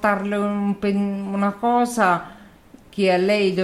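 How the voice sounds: The recording carries a natural reading voice.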